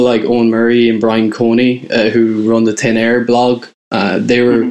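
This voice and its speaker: A man with an Irish Midlands accent speaks at a moderate pace and a medium pitch. His intonation is monotone and flat. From Ireland, County Roscommon. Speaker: music writer. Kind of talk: casual interview.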